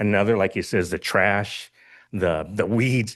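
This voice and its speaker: A man talks at a moderate pace in a normal speaking voice with fairly even intonation. His pitch is fairly low, and the background is quiet. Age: 60s. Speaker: public commenter, local resident. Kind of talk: public comment at board meeting. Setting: school board meeting.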